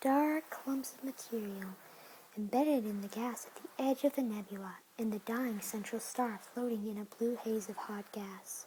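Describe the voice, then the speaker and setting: Whispering and soft-spoken, the speaker keeps a moderate pace over light background noise. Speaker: reader of a tactile book. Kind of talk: reading photo captions aloud from a book, casual comments. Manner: soft-spoken, whispered. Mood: interested, enthusiastic. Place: home room. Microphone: phone near.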